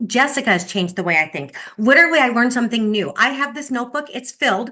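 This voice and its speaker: A woman speaks in a bright, sharp, animated tone with lively intonation. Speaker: sales director. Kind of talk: motivational talk on video call. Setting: video call. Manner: fast.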